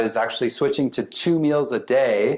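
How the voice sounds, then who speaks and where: At a moderate pace, a man with a fairly high pitch speaks in a plain, everyday voice. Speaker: psychiatrist. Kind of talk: lecture.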